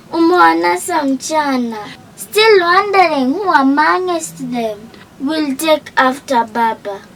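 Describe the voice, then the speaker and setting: Noticeable background noise accompanies a woman who speaks very slowly at a high pitch, her pitch swinging very widely. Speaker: tribute narrator. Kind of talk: scripted narration. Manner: formal.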